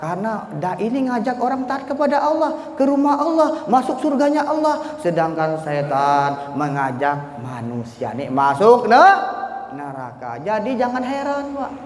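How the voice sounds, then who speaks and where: A man with a Bangka accent speaks at a fairly slow pace in an extremely high pitch, his pitch swinging very widely and hardly any pauses breaking it up. Noticeable background noise and audible room echo fill the recording. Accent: Bangka accent, described as coarse. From Bangka Belitung, Indonesia. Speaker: Islamic preacher. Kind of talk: sermon. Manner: animated.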